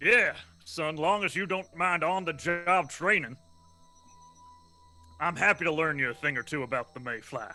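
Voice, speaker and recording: A man puts on a gruff character voice in a fairly high pitch, speaking at a moderate pace. Long, frequent pauses break up his speech, with faint music in the background. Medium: actual play. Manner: gruff, salty, folksy.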